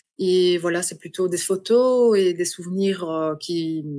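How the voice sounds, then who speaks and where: A woman speaks with a Belgian accent. Her pace is very slow. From Belgium. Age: 40s. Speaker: adoptee. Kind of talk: podcast interview. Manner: halting.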